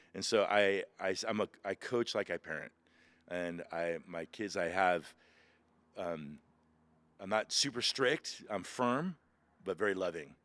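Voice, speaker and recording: In a very clean recording with a silent background and a dry, close sound with no echo, a man with a very deep, low pitch speaks at a fairly slow pace with ordinary pitch variation and long, frequent pauses. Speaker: pastor and former Marine. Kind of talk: interview. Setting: outdoors. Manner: loud; animated.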